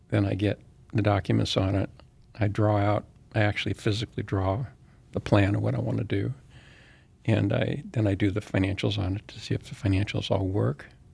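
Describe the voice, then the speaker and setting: A man with an American accent talks at a fairly quick pace, his fairly low pitch carrying vocal fry. The recording is very clean with a silent background. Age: 70s. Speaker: real estate developer and Vietnam veteran. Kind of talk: interview conversation. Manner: halting, with frequent restarts.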